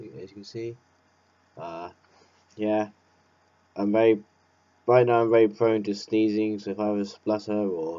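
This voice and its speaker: In an English accent, a man speaks fairly slowly with a fairly low pitch and monotone, flat intonation. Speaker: vlogger. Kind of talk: casual monologue. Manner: halting.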